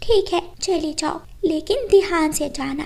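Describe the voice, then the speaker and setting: A cartoonish character voice goes at a fairly slow pace over light background noise. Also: woman, extremely high pitch for a woman. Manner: gentle, protective.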